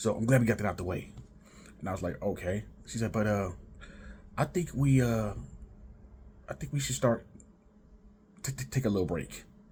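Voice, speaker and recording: A man speaks with vocal fry and lively intonation. He keeps a moderate pace with long, frequent pauses. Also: fairly low pitch for a man. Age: 30s. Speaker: vlogger. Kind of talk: casual storytelling monologue. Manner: halting, repeats words; laid back.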